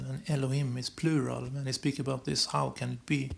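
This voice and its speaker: Against noticeable background noise, the man's voice sits at a medium pitch. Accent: non-native. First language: not English. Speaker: esoteric astrology video maker. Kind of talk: monologue explaining symbols on screen. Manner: halting, many repetitions and restarts. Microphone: low quality recordings.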